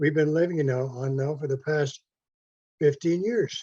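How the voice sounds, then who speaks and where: A man with a fairly high pitch and a dark, mellow tone speaks at a moderate pace with ordinary pitch variation. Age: 80s+. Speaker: retired pensioner, resident asking a question. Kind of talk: public Q&A question. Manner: halting.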